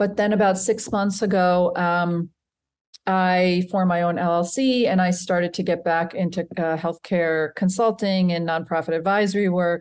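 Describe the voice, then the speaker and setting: With an ordinary speaking voice, a woman at medium pitch talks at a moderate pace and very even loudness against a quiet background. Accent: American. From US. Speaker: healthcare and nonprofit consultant. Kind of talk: interview. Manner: warm.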